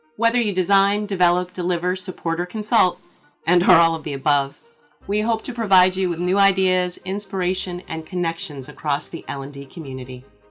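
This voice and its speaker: Music plays behind a woman speaking at a medium pitch. She talks at a fairly quick pace with ordinary pitch variation. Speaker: podcast host. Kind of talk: podcast intro read.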